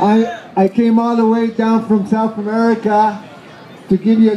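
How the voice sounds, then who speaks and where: With crowd noise in the background, a man talks at a high pitch. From Argentina. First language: Spanish. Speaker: hemp activist. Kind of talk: festival speech. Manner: halting.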